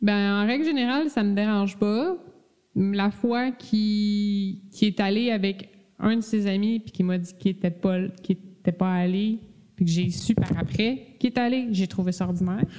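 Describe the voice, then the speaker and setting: With a Quebec accent, a woman speaks at a medium pitch and a moderate pace, with ordinary pitch variation. Noticeable background noise is present. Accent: Québécois French. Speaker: podcast host. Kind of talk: casual chat. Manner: animated.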